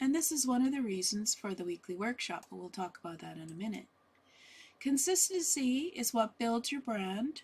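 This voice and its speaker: Soft-spoken and fairly high-pitched, a woman talks with very wide pitch swings and big swings in loudness. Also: moderate pace. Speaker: business coach. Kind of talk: online workshop talk. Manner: halting with fillers.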